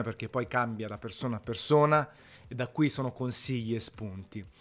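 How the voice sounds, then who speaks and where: A man speaks at a moderate pace with ordinary pitch variation and a normal speaking voice, captured in a very clean recording with a silent background. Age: 40s. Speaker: food podcaster. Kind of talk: casual monologue.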